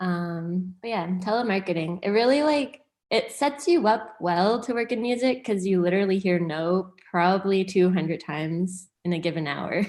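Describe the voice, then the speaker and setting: A woman with an ordinary speaking voice, medium pitch and a Canadian accent, at a moderate pace with lively intonation and hardly any pauses. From Hamilton, Ontario, Canada. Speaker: music industry manager. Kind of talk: casual interview chat.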